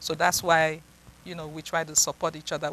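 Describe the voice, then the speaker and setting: A woman is speaking. She has a Nigerian accent. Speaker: psychiatrist. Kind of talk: interview.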